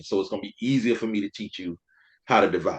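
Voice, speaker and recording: With a South Carolina accent, a man speaks at a very fast pace with medium pitch and lively intonation. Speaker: teacher and veteran. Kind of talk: casual chat.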